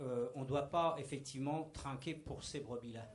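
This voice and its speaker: A man speaks in a somewhat breathy voice with fairly even intonation. There is audible room echo. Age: 60s. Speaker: church member giving testimony. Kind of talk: testimony. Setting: church meeting with microphone.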